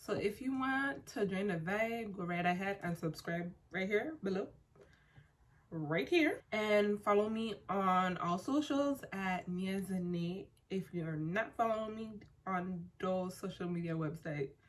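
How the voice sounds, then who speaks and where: A woman talks at a fairly slow pace in a somewhat breathy voice. Her pitch is medium and her intonation is lively. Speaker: beauty vlogger. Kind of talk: tutorial. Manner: casual.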